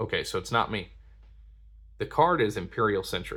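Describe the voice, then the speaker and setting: A man is heard speaking. The recording is very clean, with a silent background. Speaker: card game content creator. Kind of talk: product unboxing commentary. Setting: at home at night, others asleep.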